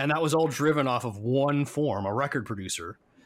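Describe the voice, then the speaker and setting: Recorded very cleanly against a silent background, an ordinary speaking voice with an American accent moves at a moderate pace with ordinary pitch variation. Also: man. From United States. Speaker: podcast co-host, IT consultant. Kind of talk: casual chat.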